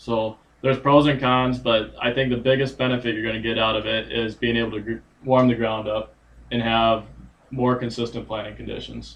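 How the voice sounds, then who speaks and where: A man talks quietly at a medium pitch and a fairly quick pace. His intonation stays monotone and flat. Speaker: agronomist. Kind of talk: casual chat. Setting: livestream.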